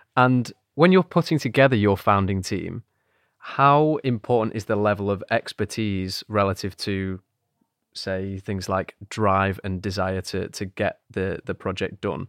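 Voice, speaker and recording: A man's fairly low-pitched, unremarkable speaking voice, fairly slow in pace, with ordinary pitch variation and a dry, close sound with no echo. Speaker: podcast host. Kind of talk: interview.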